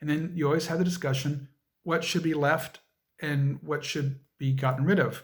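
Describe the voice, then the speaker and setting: A fairly high, somewhat breathy man's voice at a fairly quick pace with fairly even intonation. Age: 50s. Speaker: interviewee, history educator. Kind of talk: interview.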